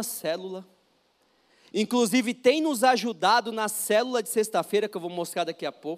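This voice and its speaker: In an animated tone, a man speaks at a high pitch. His pace is moderate and his pitch variation ordinary. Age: 30s. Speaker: pastor. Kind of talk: sermon. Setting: church.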